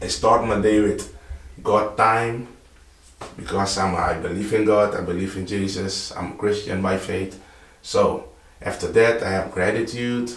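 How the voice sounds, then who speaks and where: A man's fairly low, flat, monotone voice at a fairly slow pace, with noticeable background noise and audible room echo. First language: Dutch. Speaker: vlogger. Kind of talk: casual vlog talk. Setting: home office, early morning. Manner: halting, with repetitions.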